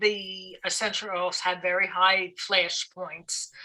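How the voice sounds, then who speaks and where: A woman with a Brooklyn accent talks at a very slow pace. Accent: Brooklyn, still present. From New York City (Brooklyn). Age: 60s. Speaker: aromatherapist. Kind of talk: podcast interview.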